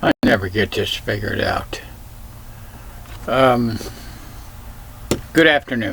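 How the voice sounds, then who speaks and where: A man's medium-pitched voice with ordinary pitch variation and noticeable background noise. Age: 70s. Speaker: vlogger sharing life advice. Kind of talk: personal talk to camera.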